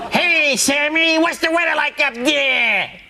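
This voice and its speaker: This is a put-on character voice with a high pitch. The delivery runs at a fairly slow pace. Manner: over-the-top, cartoonish.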